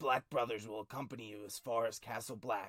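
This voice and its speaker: A raspy, put-on character voice moves at a fairly quick pace with fairly even intonation. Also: man. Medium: read story. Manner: curt, clipped, severe.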